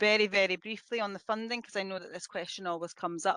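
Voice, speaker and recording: Against a quiet background, a woman with a Scottish accent is heard with a dry, close sound and no echo. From Scotland. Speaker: police officer. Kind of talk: webinar presentation. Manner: hesitant, many fillers.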